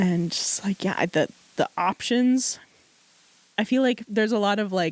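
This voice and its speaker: A woman with a medium pitch talks at a moderate pace and ordinary pitch variation. Her speech has long, frequent pauses. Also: dry, close sound with no echo. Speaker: podcast co-host. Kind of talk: casual chat.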